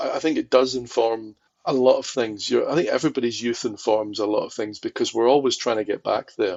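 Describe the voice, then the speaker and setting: A man speaks with a Glaswegian accent. His pace is fairly quick. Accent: Glaswegian Scottish. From Scotland, Glasgow. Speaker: film archivist. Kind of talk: podcast interview.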